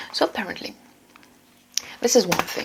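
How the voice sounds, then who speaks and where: Someone whispers. Noticeable background noise can be heard too. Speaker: self-improvement vlogger. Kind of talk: casual vlog talk. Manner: fast; halting, repetitive.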